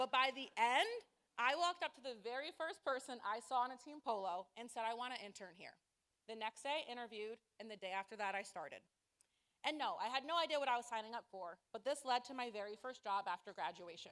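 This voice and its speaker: A woman with an American accent speaks at a very fast pace in a high pitch, her tone bright and sharp, her intonation lively, with big swings in loudness. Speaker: nonprofit fundraiser. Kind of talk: short stage presentation. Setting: stage with audience.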